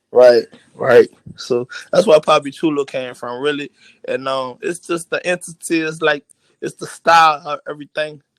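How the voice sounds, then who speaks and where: In a strong New Orleans accent, a man talks at a moderate pace with big swings in loudness, the sound dry and close with no echo. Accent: thick New Orleans. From New Orleans, Louisiana. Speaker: rapper. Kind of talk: casual interview. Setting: live online radio show.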